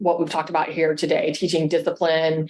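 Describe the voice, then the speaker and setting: A woman's fairly low voice stays monotone and flat. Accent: American. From Texas. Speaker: Air Force veteran. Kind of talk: podcast interview.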